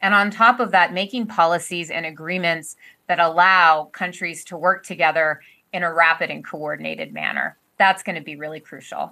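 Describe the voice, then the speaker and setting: On a very clean recording with a silent background, a woman with a fairly low pitch and a bright, sharp tone speaks at a moderate pace with fairly even intonation and big swings in loudness. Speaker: virologist. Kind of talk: panel discussion.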